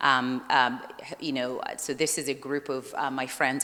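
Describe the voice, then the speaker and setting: A woman speaks loudly in a very deep, low pitch. Her tone is bright and sharp. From Malawi. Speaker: surgeon. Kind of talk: conference talk. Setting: conference breakout session.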